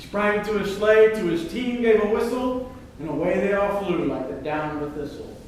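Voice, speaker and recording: A high-pitched male voice with lively intonation at a moderate pace, over noticeable background noise. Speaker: amateur performer. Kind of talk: poetry reading. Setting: live show. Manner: animated.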